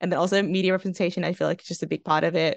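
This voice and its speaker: Spoken at a very fast pace in an Australian accent, the delivery is monotone and flat, with a dry, close sound with no echo over a quiet background. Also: woman. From Melbourne, western suburbs. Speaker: university student and writer. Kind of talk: casual interview chat.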